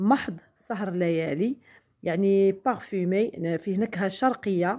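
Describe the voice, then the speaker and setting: With a Moroccan accent, a woman speaks using ordinary pitch variation. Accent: Moroccan Darija with French loanwords. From Morocco. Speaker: beauty product sales vlogger. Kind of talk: product demonstration vlog. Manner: halting with fillers. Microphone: phone near.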